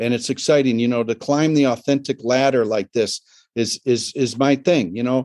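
A man talks in a normal speaking voice at a medium pitch. His pace is moderate, over a quiet background. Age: 60s. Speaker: sauna builder and expert. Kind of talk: casual interview chat. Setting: video call from a home with a sauna.

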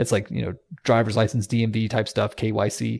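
A man talks very fast at a medium pitch, with vocal fry and a monotone, flat intonation. The recording is very clean, with a silent background. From US South. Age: 30s. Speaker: tech company CEO. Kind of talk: podcast interview.

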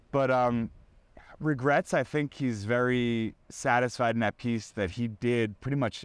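A man speaks in an unremarkable speaking voice at medium pitch with ordinary pitch variation and a moderate pace, on a very clean recording with a silent background. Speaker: sports reporter. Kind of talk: casual interview chat.

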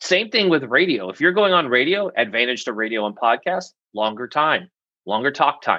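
A man's fairly high voice with an American accent, bright and sharp in tone, lively in intonation, over a quiet background. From US Pacific Northwest. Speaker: media coach and PR firm CEO. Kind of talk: interview, casual expert talk. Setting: video call. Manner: fast, animated.

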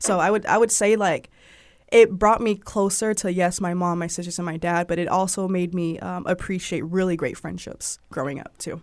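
A woman with an American accent has a plain, everyday voice at a medium pitch, with fairly even intonation at a moderate pace. The recording is very clean, with a silent background. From US South (Georgia). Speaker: digital marketing manager and former freelance journalist. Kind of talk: casual interview conversation.

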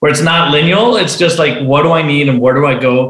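A fairly high-pitched man at a fairly quick pace, with ordinary pitch variation and audible room echo. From Venezuela. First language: Spanish. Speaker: entrepreneur and author. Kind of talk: interview.

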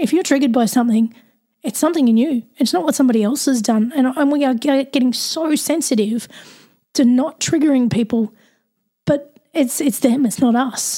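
With an Australian accent, a woman speaks at a high pitch in a dark, mellow tone with ordinary pitch variation. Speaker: podcast host. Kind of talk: casual interview chat.

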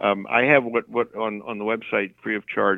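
A man with a fairly low pitch and fairly even intonation has an unremarkable speaking voice. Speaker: counselor. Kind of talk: casual chat.

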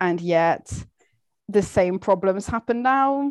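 Against a quiet background, a woman speaks at a medium pitch in an ordinary speaking voice. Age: 20s. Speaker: literature graduate. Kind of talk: casual chat.

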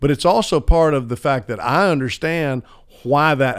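This very clean recording with a silent background has a man speaking at a medium pitch with lively intonation. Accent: Southern US. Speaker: radio broadcaster. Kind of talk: casual chat.

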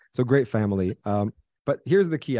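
A man's medium-pitched voice, energetic in tone, with lively intonation and a fairly quick pace, in a dry, close sound with no echo. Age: 30s. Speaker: tech startup co-founder and marketing professor. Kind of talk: interview.

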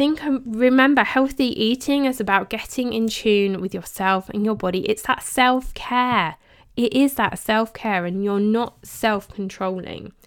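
Speaking at a fairly slow pace with an English accent, a woman uses lively intonation at a fairly high pitch, recorded very cleanly over a silent background. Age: 40s. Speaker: podcast host and health coach. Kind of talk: casual monologue.

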